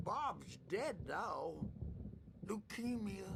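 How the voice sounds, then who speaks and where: A man performs a put-on character voice. Background noise is clearly audible. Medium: video game. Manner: rambling, wandering.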